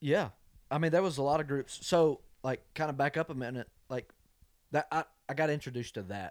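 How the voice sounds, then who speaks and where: Over a silent background in a very clean recording, a man with a fairly high pitch talks at a fairly quick pace, with ordinary pitch variation and long, frequent pauses. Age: 20s. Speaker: country singer-songwriter. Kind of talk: casual chat.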